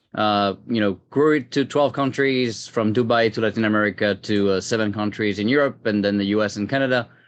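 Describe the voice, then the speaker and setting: Over a quiet background, a man with a French accent speaks at a fairly quick pace and fairly low pitch with hardly any pauses. His loudness stays very even and his intonation fairly even. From France. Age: 30s. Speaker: tech executive. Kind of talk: interview. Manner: hesitant, many fillers.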